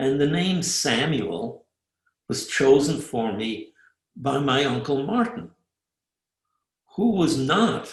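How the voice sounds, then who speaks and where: This man talks at a very slow pace with an American accent and vocal fry. His fairly high pitch swings very widely. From Germany, Fürth near Nuremberg; emigrated to the US as a child. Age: 80s. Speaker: Holocaust survivor giving a talk. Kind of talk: presentation with slides.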